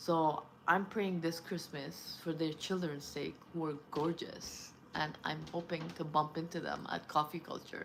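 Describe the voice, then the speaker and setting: With a non-native accent, the speaker talks at a fairly slow pace in monotone, flat intonation. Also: woman, very deep, low pitch for a woman. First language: not English. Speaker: vlogger. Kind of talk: casual monologue. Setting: at home, early morning. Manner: rambling, hesitant.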